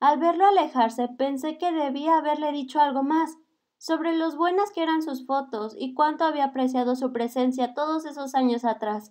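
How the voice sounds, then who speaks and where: A woman with a high voice speaks at a moderate pace, her pitch varying in an ordinary way. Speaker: audiobook narrator. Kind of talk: reading aloud.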